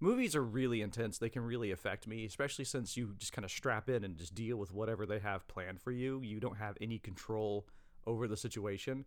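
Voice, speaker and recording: A man talks at a very fast pace. His pitch is fairly low for a man. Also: ordinary pitch variation. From United States. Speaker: horror podcast host. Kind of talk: solo podcast monologue.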